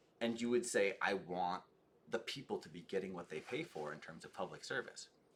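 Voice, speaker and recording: An animated male voice at medium pitch, with vocal fry. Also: big swings in loudness. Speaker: political streamer. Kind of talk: live stream commentary and chat. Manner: fast.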